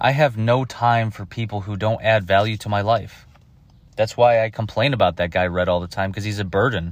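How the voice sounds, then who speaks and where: A man with a fairly low pitch speaks at a fairly quick pace in an ordinary speaking voice. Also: fairly even intonation. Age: 30s. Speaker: podcast host. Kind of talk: solo monologue. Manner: casual, profane.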